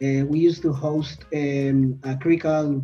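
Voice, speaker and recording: A man with a Spanish accent and a fairly high-pitched voice. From Colombia. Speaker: PhD student and podcast host. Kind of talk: casual chat.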